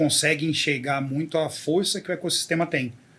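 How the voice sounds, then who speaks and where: A man speaks with fairly even intonation at a fairly high pitch. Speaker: podcast host. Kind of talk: interview conversation.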